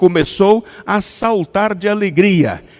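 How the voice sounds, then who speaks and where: A high-pitched man with a non-native accent. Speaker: pastor. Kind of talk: sermon.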